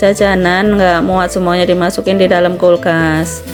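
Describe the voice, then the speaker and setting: Against noticeable background noise, a woman speaks fairly quickly at medium pitch in a monotone with flat intonation. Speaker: vlogger, housewife. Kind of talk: vlog voiceover narration. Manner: casual, conversational.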